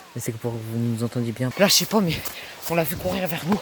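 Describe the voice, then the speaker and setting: A man talks at a very fast pace with ordinary pitch variation, over noticeable background noise. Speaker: youtuber filming a prank vlog. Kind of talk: casual vlog narration to camera. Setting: outdoors, hiding in woods. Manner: hesitant, many fillers; quiet, speaking softly while hiding.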